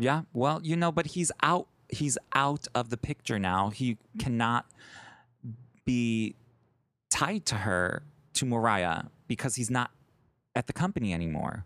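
Taking long, frequent pauses at a fairly slow pace, a man with an American accent speaks at medium pitch with very wide pitch swings. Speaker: podcast co-host. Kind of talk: casual chat. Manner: animated.

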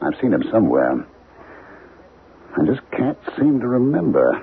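Putting on a character voice, a man speaks at a fairly slow pace and medium pitch, with very wide pitch swings, a husky, rough edge and vocal fry.

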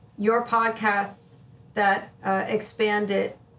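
A woman with an American accent talks at a medium pitch in a flat monotone, with noticeable background noise. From northern New Jersey (Wayne). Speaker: school business administrator. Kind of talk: interview.

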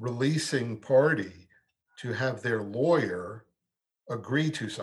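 This man has a medium pitch and an American accent. His voice is somewhat breathy, with ordinary pitch variation. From New York, Brooklyn. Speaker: medical malpractice trial lawyer. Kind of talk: interview. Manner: halting, repeats words.

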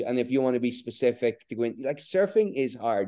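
This voice has a dark, mellow tone and a Donegal Irish accent. The intonation is lively, and the background is quiet. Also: man. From northwest Ireland (Donegal, Bundoran). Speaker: author and surfer. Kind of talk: casual interview.

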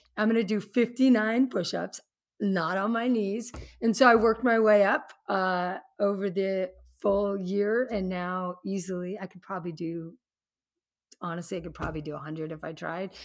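A woman speaks with an ordinary speaking voice at a medium pitch and moderate pace. Her loudness swings a lot while her pitch varies in an ordinary way. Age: 50s. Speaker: fitness instructor and executive. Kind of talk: casual chat. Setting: video call.

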